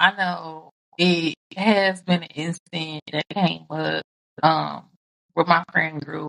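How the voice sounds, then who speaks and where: A woman's fairly low voice carries a bright, sharp tone along with vocal fry. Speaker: podcast co-host. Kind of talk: casual chat. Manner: loud.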